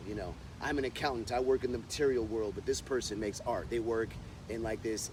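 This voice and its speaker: In an American accent, a man talks fairly quickly at a medium pitch with monotone, flat intonation. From United States. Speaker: stand-up comedian. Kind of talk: interview answer. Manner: casual, conversational.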